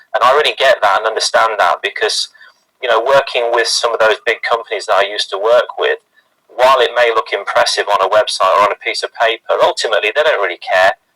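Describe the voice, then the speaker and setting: A man with a British accent at a very fast pace, in a dry, close sound with no echo. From UK. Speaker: sales and marketing team member. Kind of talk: team introduction testimony.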